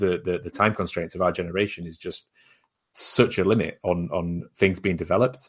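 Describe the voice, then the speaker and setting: In a very clean recording with a silent background, a man speaks with a British accent. His pitch is very deep and low, his intonation fairly even and his pace fairly quick. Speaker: podcast host. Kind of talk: casual chat.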